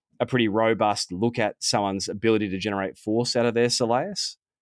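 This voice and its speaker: With an Australian accent, a man talks at a fairly quick pace and a medium pitch. His pitch varies in an ordinary way, and the sound is dry and close with no echo. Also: very clean recording, silent background. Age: 40s. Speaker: sports physiotherapist. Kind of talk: interview.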